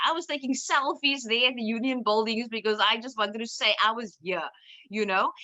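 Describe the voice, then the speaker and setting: With a Cape Town accent, a woman speaks at a high pitch. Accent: Cape Town South African English. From South Africa, Cape Town (Cape Flats, Bellville). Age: 30s. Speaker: lawyer and activist. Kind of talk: personal talk. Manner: halting, many fillers.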